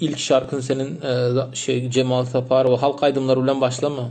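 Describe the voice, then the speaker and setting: Music plays behind a man speaking at a moderate pace with a Turkmen accent. His medium-pitched delivery is monotone and flat. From Turkmenistan. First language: Turkmen (speaking Turkish). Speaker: livestream host, language enthusiast. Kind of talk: casual livestream chat answering comments. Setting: Instagram live stream. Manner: halting, many false starts.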